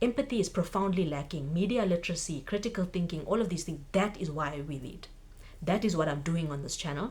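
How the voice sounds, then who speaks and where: A woman talks with a South African accent. Her voice is fairly low and somewhat breathy. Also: lively intonation, fairly quick pace. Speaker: book vlogger. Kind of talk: casual vlog monologue.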